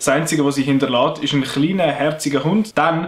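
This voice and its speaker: A man speaks with a Swiss accent. His pitch varies in an ordinary way. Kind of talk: casual film review talk.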